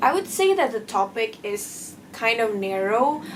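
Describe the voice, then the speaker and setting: A woman's fairly high voice with a non-native accent, at a fairly slow pace. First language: not English. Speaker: book reviewer. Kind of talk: casual vlog book review.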